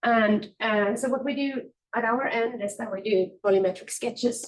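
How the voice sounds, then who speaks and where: With fairly even intonation, the woman talks in a fairly high voice. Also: moderate pace. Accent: Swedish. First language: Swedish. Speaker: architect presenting research. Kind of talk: conference presentation. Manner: halting, many fillers.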